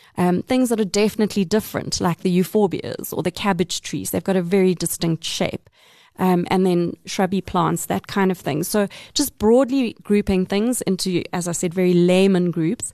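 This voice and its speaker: In a dry, close recording with no echo and a quiet background, a woman speaks at a moderate pace with a dark, mellow tone, medium pitch and ordinary pitch variation. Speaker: author and environmental TV producer. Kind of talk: interview.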